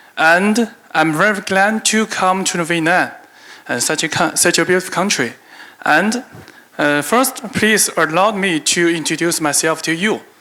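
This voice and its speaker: Over noticeable background noise, a man with a high pitch and ordinary pitch variation talks at a fairly slow pace. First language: Chinese. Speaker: business executive. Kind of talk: conference keynote. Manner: halting, reading from paper.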